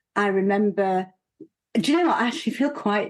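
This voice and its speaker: Over a quiet background, a woman speaks in a Yorkshire accent. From northern England, Leeds. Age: 50s. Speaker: broadcaster and former politician. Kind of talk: TV panel discussion. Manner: halting.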